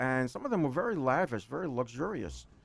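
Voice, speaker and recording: A man with a New York accent talks at a moderate pace. His pitch swings very widely. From New York City (Queens). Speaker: accountant. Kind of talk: interview. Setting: radio studio. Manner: rambling, halting with repetitions.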